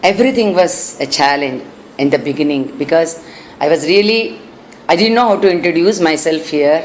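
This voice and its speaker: A woman with a Karnataka accent at a moderate pace, lively in her intonation, amid noticeable background noise and audible room echo. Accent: Indian (Kannada) English. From India, Bangalore (Karnataka). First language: Kannada. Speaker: classical singer. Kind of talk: interview. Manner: halting.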